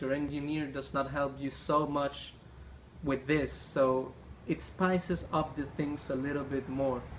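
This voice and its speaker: Speaking at a fairly slow pace, a man with a non-native accent uses a fairly high pitch and a monotone, flat delivery. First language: not English. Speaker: gaming YouTuber. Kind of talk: gameplay tutorial.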